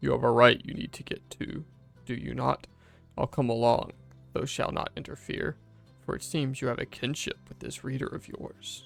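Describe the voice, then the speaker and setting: Faint music plays in the background behind a rumbling put-on character voice. The delivery moves at a moderate pace. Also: man. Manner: menacing.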